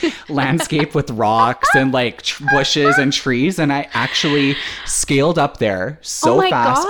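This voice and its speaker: Over noticeable background noise, a man with a Canadian accent speaks fairly slowly in a fairly high voice with ordinary pitch variation. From Canada. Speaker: podcast host.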